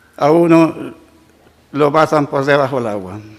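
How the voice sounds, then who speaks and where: Noticeable background noise sits under a man who talks rather slowly with ordinary pitch variation. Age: 80s+. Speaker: retired railway worker. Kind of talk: public testimony at council session. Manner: halting.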